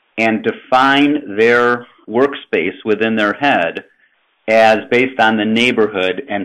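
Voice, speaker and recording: This man speaks with a Chicago accent at a fairly slow pace. His pitch is medium, with ordinary variation. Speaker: housing finance presenter. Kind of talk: webinar presentation. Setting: webinar. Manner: conversational, with fillers.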